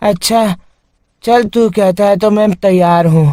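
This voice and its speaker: A man's cartoonish character voice, high-pitched and fairly slow, with a dry, close sound and no echo. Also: fairly even intonation. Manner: scornful, laughing.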